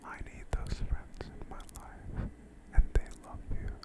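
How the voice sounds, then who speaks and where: Whispering in a calm tone at a very slow pace over noticeable background noise. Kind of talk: whispered ASMR talk to camera. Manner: whispered, soft-spoken, calm.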